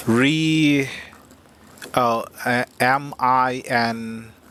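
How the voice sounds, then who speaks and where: A man speaks at medium pitch with a non-native accent. His intonation stays fairly even. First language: not English. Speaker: game streamer. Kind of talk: live gameplay commentary. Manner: halting.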